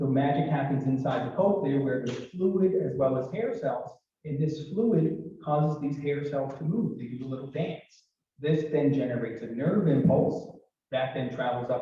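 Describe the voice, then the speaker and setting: Audible room echo surrounds a man whose fairly high pitch moves in lively intonation. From Nova Scotia, Canada (Halifax). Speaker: audiologist. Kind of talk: educational presentation. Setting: hybrid information session with live audience. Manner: animated.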